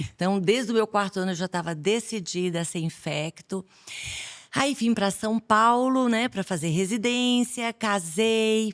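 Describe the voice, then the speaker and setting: With a Bahian accent, a woman speaks fairly slowly at a fairly high pitch with ordinary pitch variation, the sound dry and close with no echo. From Bahia, Brazil. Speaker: infectious disease doctor. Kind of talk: podcast interview.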